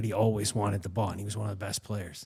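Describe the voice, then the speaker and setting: Somewhat breathy, a man talks at a very fast pace in a dark, mellow tone. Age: 40s. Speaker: podcast host and case manager, former priest. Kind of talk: casual interview conversation. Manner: halting, many fillers.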